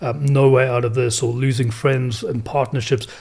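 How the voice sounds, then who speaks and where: A man talks at a moderate pace in a South African accent. His voice is somewhat breathy, with fairly even intonation. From South Africa, Cape Town. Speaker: entrepreneur, robotics company founder. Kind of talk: podcast interview answer.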